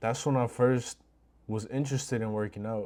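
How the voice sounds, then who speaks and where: A man's dark, mellow tone at a moderate pace with fairly even intonation, very clean recording, silent background. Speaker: vlogger. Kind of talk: casual monologue. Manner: halting.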